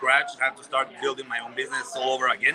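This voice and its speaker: His pitch shows ordinary variation. The speaker is a man with a medium pitch. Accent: Spanish. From Guatemala. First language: Spanish. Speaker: business owner, salesperson. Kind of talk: casual interview answer. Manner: halting, hesitant.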